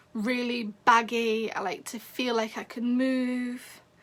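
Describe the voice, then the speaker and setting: A woman speaks in an English accent. Her tone is bright and sharp. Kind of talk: casual livestream talk. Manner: halting.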